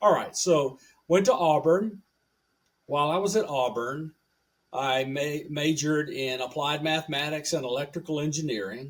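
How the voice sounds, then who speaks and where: Speaking with a Southern US accent, a man keeps a moderate pace with ordinary pitch variation. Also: fairly high pitch for a man. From US South, rural Tennessee and Alabama. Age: 70s. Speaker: radio engineer and professor. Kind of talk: podcast interview.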